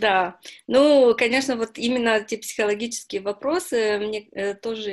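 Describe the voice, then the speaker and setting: A woman with an ordinary speaking voice talks at a fairly slow pace and a fairly high pitch. The background is quiet. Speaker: newspaper interviewer. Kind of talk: interview.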